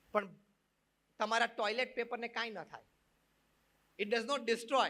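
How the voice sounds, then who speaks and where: A man's raised, projected voice, bright and sharp in tone, extremely high-pitched and flat in intonation. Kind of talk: religious discourse to an audience. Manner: mixes Gujarati with English phrases.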